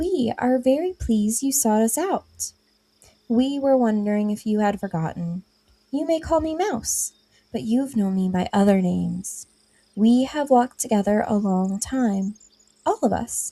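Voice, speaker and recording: A woman puts on a squeaky character voice, fairly high in pitch, with lively intonation at a moderate pace. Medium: read story.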